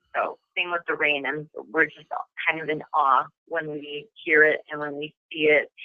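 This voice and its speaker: A woman with a Midwestern accent speaks at a moderate pace in a very deep, low pitch, her intonation monotone and flat. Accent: Midwest. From US Midwest, Madison, Wisconsin. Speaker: actress. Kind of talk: interview.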